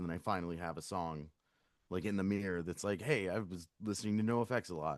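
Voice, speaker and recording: In a quiet background, a man speaks with an American accent. His pace is fairly quick and his intonation fairly even. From Virginia, US. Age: 40s. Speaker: punk band lead singer. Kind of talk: casual interview chat.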